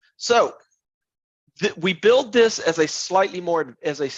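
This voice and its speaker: Very wide pitch swings from a man in an American accent. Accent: Southern US, heavy when excited. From US South (Tupelo, Mississippi). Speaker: software architect, tech speaker. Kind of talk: technical presentation. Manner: fast.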